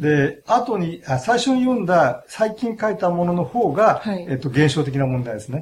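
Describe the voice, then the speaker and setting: A man at a moderate pace, high in pitch, with very wide pitch swings. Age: 60s. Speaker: philosophy professor. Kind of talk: interview. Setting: studio. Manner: halting.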